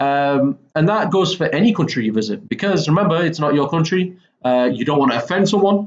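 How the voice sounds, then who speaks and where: A man speaks with a Mancunian accent. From northern England, Manchester. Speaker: English teacher. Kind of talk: lecture. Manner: casual, frequent okay fillers.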